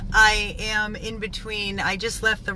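Recorded dry with no echo, a woman's voice comes through over light background noise. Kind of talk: casual vlog update. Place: car. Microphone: phone near.

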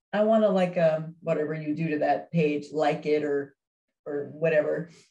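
Somewhat breathy speech with an American accent, fairly even intonation and a moderate pace. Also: woman. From California. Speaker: widow sharing her grief story. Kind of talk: interview.

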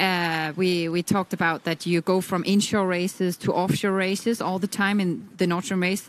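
With a Danish accent and a medium pitch, a woman speaks at a moderate pace with very even loudness and fairly even intonation, recorded very cleanly over a silent background. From Denmark. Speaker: sailing expert commentator. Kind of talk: live commentary.

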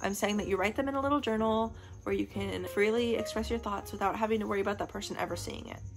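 A woman talks at a very fast pace with an American accent. Clear music plays in the background. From Missouri. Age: young. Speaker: vlogger. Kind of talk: casual talk to camera. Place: home room. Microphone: phone near.

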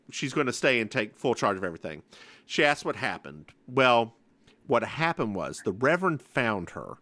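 A man speaks at a fairly quick pace and medium pitch, his tone animated, bright and sharp, with vocal fry and very wide pitch swings. The recording is very clean, with a silent background. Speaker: podcast host. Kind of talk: casual chat.

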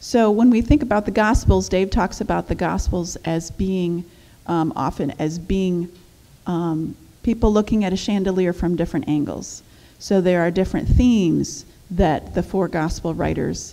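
Her tone is dark and mellow. This woman's pitch is fairly low. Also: ordinary pitch variation, moderate pace. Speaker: women's ministry teacher. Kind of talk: bible teaching lecture. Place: church. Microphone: headset.

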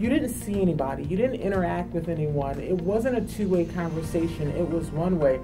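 Over clear music in the background, a woman speaks at a moderate pace. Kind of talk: interview answer. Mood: enthusiastic, warm. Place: studio. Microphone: lapel.

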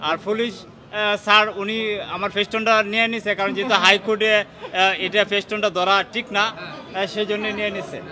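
A man speaks in a raised, projected voice with a high pitch and a monotone, flat intonation. Crowd noise sounds in the background. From Bangladesh, Kishoreganj; Bangladesh. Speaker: fan at a court rally. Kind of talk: street interview. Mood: earnest, defensive of idol. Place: street. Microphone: handheld.

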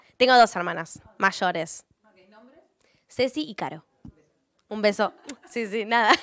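Very slow female speech at fairly high pitch, with ordinary pitch variation, big swings in loudness, long, frequent pauses and a dry sound with no echo. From Patagonia, Argentina (Puerto Madryn); Patagonia, Argentina. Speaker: singer-songwriter. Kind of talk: interview answers. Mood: warm, heartfelt. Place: studio. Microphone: handheld.

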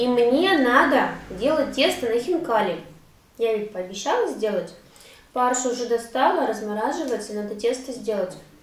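A high-pitched woman talks at a moderate pace with audible room echo. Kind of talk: casual vlog chat. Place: kitchen. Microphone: camera far.

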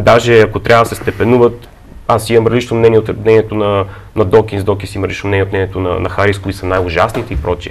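A man's fairly low voice at a very fast pace, amid noticeable background noise. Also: fairly even intonation. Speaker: book publisher. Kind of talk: studio discussion. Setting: studio.

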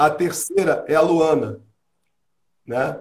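A man's fairly high-pitched voice with vocal fry. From Rio de Janeiro. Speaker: musician and singer; interviewee. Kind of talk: casual interview. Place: home room. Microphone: voice cuts out and is too quiet.

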